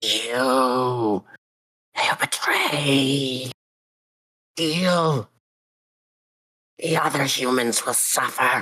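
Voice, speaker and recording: Someone uses a put-on character voice at a low-to-middle pitch, speaking at a very slow pace with long, frequent pauses. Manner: threatening.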